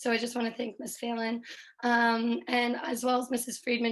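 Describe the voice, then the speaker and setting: In a high pitch, a woman speaks at a moderate pace with monotone, flat intonation. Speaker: elementary school teacher. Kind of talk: public comment at school board meeting. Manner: hesitant, many fillers.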